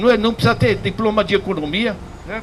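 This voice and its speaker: A man's voice over noticeable background noise. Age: 70s. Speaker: economics professor. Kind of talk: public lecture. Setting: public class before audience. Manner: casual, repetitive with hesitations.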